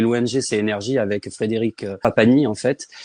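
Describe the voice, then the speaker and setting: A man with a medium pitch and fairly even intonation talks through noticeable background noise. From Provence, southern France. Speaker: children's author. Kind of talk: casual interview.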